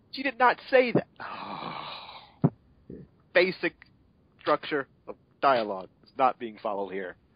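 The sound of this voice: Speaking slowly at a medium pitch, a man swings his pitch very widely, and the sound is dry and close with no echo.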